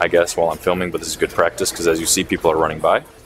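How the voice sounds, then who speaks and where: Flat, monotone intonation from a man, noticeable background noise underneath. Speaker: vlogger. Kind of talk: casual vlog chat. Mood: slightly anxious, reflective. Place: gym. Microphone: lapel.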